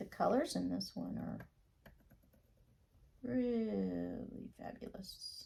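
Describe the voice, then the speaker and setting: Quietly and at a very slow pace, a woman talks with long, frequent pauses. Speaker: acrylic pour artist. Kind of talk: tutorial.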